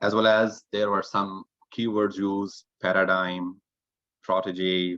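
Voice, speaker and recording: Dry, close sound with no echo carries a man's voice. He speaks at a moderate pace with a non-native accent. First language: not English. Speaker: toastmasters club member, grammarian. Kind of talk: evaluation report at online club meeting. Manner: halting, with fillers and repeats.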